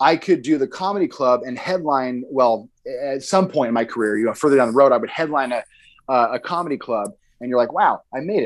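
Here is a man with an American accent and a fairly high pitch, using a normal speaking voice. He speaks at a fairly quick pace with lively intonation. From Idaho (Boise). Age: 30s. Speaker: comedian and former pro wrestler. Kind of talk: casual interview chat. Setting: video call.

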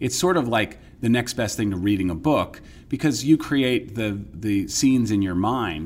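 A man talks in a normal speaking voice with an American accent. His pitch is fairly low with ordinary variation, and his pace is moderate. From New York area, US. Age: 50s. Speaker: investigative reporter. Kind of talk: casual interview conversation.

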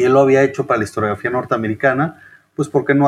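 An unremarkable speaking voice carries fairly even intonation. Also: man. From Chihuahua, northern Mexico. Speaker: historian and author. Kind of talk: interview.

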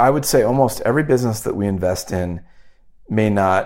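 With lively intonation and a fairly low pitch, a man speaks at a moderate pace in an unremarkable speaking voice. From Wyoming and Omaha, Nebraska. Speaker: investment firm founder. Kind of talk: interview.

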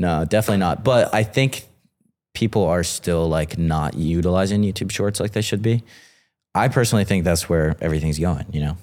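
Here a man with an American accent has a very deep, low pitch and ordinary pitch variation. He moves at a fairly quick pace. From North Carolina. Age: 30s. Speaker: short-form video creator. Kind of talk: casual interview chat.

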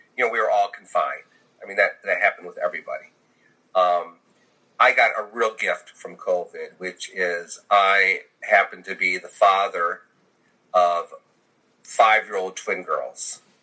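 Talking at a fairly slow pace with an American accent, a man leaves long, frequent pauses, and his loudness swings widely. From Michigan, US. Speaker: health insurance agent. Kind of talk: casual interview.

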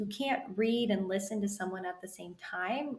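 A woman with an ordinary speaking voice talks at medium pitch and a moderate pace, using ordinary pitch variation. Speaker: podcast host. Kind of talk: interview conversation.

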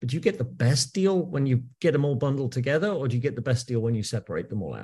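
Somewhat breathy, medium-pitched man's voice with lively intonation. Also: quiet background. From England. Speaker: music industry executive. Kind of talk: podcast interview.

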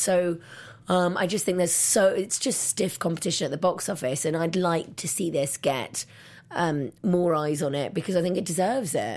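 A woman with an English accent speaks at a moderate pace and a fairly low pitch. The recording is very clean, with a silent background. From England. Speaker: film critic. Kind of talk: casual chat.

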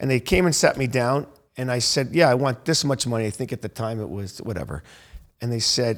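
An unremarkable speaking voice from a man with an American accent, medium in pitch, with ordinary pitch variation at a fairly quick pace. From US South, Naples, Florida. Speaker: hospitality entrepreneur. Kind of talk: casual interview chat.

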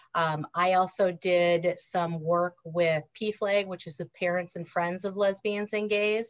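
A woman with a Wisconsin accent, medium pitch and monotone, flat intonation, at a very slow pace. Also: hardly any pauses. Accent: Wisconsin Upper Midwest. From Wisconsin, US. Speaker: former school counselor and author. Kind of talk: casual interview.

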